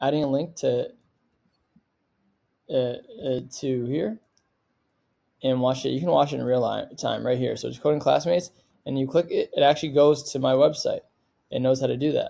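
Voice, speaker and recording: Moderate pace with long, frequent pauses. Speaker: coding tutorial youtuber. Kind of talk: tutorial. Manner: casual with many fillers.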